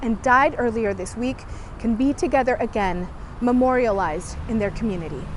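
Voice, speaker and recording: A woman with a high pitch speaks at a moderate pace. Noticeable background noise runs behind her. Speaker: TV news reporter. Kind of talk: TV news report.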